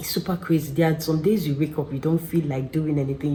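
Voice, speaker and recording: Someone whispers at a very fast pace. Noticeable background noise runs underneath. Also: woman. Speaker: vlogger. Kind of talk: casual chat. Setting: at home. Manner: whispering.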